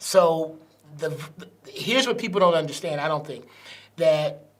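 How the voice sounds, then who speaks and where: A man's high-pitched voice amid noticeable background noise and audible room echo. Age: 60s. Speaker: pastor. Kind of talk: interview.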